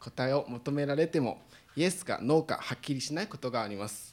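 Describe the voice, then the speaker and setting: A fairly high-pitched man with a Chinese accent at a fairly quick pace. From China, Shanghai. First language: Chinese (speaking Japanese). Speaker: international student. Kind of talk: prepared speech.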